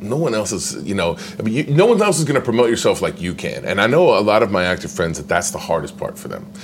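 Very wide pitch swings stand out over noticeable background noise. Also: man. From Indiana, US Midwest. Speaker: actor. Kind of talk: interview.

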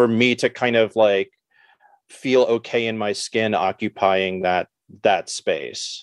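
A man's medium-pitched voice with an American accent, monotone and flat, at a very slow pace, dry and close with no echo against a quiet background. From New York City. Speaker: artist and teacher. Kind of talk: interview.

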